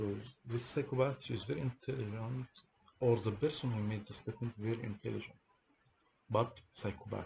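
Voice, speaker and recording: A man with a strong non-native accent, somewhat breathy, at a fairly quick pace with fairly even intonation and long, frequent pauses. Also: medium pitch for a man. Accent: heavy foreign accent in English. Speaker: person telling of a police case against him. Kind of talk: monologue recounting a personal grievance. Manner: halting, repeats words.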